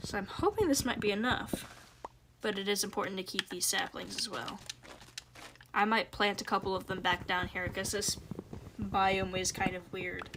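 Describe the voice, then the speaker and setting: A quiet woman speaks at a medium pitch and a moderate pace, with long, frequent pauses. Her intonation is monotone and flat. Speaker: gaming streamer. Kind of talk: live gameplay stream chat.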